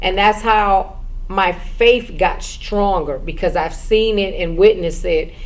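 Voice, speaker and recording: Fairly slow speech from a woman amid noticeable background noise and audible room echo. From Brooklyn, New York, US. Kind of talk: personal testimony.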